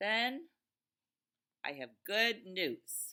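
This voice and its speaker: This put-on character voice sits fairly high in pitch and swings very widely up and down. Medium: read story. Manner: calm, matter-of-fact.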